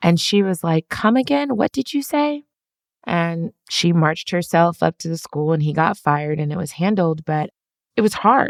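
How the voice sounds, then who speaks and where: The speech moves at a moderate pace with very wide pitch swings, in a dry, close sound with no echo. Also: woman, fairly low pitch for a woman. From Germany, Belgium, Netherlands, then US (Minnesota, Atlanta). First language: German. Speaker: business executive and CEO. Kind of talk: interview.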